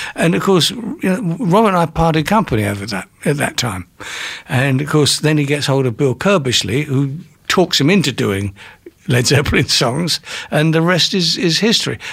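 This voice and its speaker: At a moderate pace, a man with an English accent speaks in a fairly high voice that makes very wide pitch swings. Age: 70s. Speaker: music industry manager. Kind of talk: interview. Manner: storyteller.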